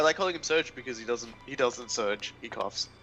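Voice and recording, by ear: With music playing in the background, a man with an Australian accent speaks at a moderate pace using lively intonation.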